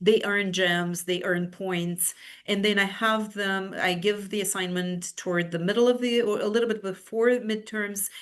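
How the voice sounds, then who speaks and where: Against a quiet background, a woman with a Romanian accent talks with hardly any pauses and fairly even intonation. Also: medium pitch for a woman, moderate pace. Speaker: university professor. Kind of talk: webinar presentation. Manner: halting, many fillers and repetitions.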